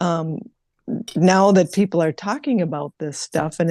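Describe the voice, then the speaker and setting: A woman's fairly low, dark and mellow voice at a moderate pace, with ordinary pitch variation, a dry, close sound with no echo and a quiet background. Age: 60s. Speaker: spiritual live-stream host. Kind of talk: casual chat.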